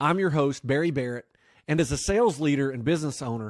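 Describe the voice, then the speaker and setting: A man with a Southern US accent talks very fast at a fairly high pitch with ordinary variation. The recording is very clean and the background silent. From US South. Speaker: podcast host. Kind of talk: scripted intro; interview.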